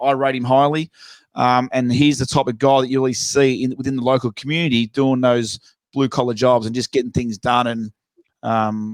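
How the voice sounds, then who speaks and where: Speaking at a fairly quick pace with an Australian accent, a man keeps a medium pitch and a flat, monotone delivery, recorded with a dry, close sound and no echo. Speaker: podcast host. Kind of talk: casual chat.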